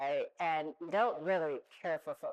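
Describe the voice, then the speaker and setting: A normal speaking voice from a woman with an American accent, fairly low in pitch, at a moderate pace. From US West Coast, Oakland, California. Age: 60s. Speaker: retired business executive, panelist. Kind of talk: panel discussion, personal story.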